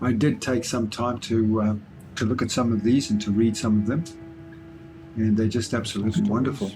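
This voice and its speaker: With music in the background, a man with an Australian accent and a medium pitch talks at a fairly quick pace, with fairly even intonation, very even loudness and long, frequent pauses. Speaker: travel vlogger. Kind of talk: vlog narration. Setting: indoors at a war memorial shrine. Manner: soft-spoken.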